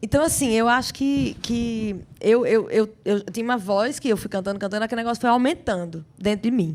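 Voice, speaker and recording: The woman speaks at a fairly quick pace with hardly any pauses. Her pitch is fairly high, with ordinary variation. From Brazil, Rio Grande do Norte (Natal). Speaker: singer and actress. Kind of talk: interview. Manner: animated, with repetitions.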